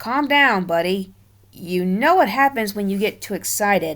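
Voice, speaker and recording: A put-on character voice that sounds female comes through on a very clean recording with a silent background. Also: medium pitch for a woman, moderate pace. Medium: read story.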